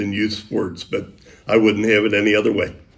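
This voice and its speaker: There is audible room echo around a man's voice. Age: 70s. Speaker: high school sports broadcaster. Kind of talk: interview.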